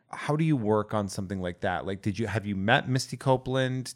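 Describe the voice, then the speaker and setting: Speaking at a fairly quick pace, a man uses medium pitch with ordinary pitch variation. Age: 40s. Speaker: podcast host. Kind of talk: casual chat. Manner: animated.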